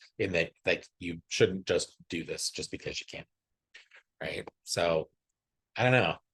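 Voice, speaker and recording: A soft-spoken man at a fairly slow pace, with long, frequent pauses and a dry, close sound with no echo. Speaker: podcast co-host. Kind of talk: casual chat. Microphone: far from the mic.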